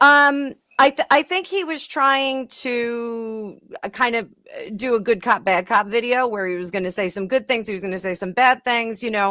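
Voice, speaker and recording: A woman's fairly high, bright, sharp voice at a moderate pace, with very wide pitch swings and big swings in loudness, dry and close with no echo. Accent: New Jersey. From New Jersey. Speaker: panelist. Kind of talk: heated debate.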